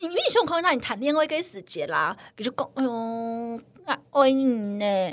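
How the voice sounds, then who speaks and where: With a high pitch and very wide swings, a woman speaks in an animated tone. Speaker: guest. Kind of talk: casual chat.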